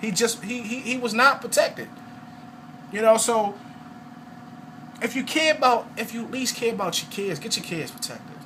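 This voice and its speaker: A man's extremely high, raised and projected voice in an animated tone, at a moderate pace, with big swings in loudness, long, frequent pauses, and noticeable background noise. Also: ordinary pitch variation. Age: 30s. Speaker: network marketing salesman. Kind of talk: testimony sales pitch. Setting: at home, video recording.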